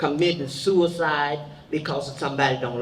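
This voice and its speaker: A woman's very deep, low voice at a fairly slow pace, with audible room echo and noticeable background noise. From Birmingham, Alabama. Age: 70s. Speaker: civil rights veteran. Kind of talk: advice to youth.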